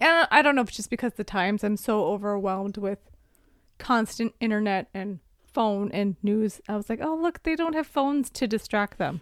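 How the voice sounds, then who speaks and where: Mumbling at a moderate pace with lively intonation, a woman is heard on a very clean recording with a silent background. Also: dry, close sound with no echo. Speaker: podcast co-host. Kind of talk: casual chat.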